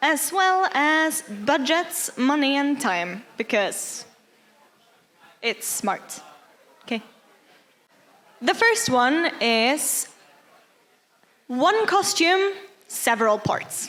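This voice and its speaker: With a Norwegian accent, a woman speaks at a very slow pace in a high pitch, leaving long, frequent pauses. Her pitch makes very wide swings. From Norway. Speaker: cosplayer. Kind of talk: workshop talk.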